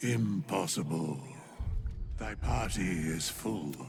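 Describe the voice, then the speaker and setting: A put-on character voice from a man, very deep and low, delivered very slowly. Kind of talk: old-fashioned theatrical speech. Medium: video game. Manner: archaic, formal, cryptic.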